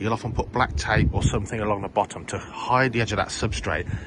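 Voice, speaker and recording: Dry, echo-free sound from a man going at a fairly quick pace, with noticeable background noise. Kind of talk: casual vlog chat. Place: garden. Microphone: phone near.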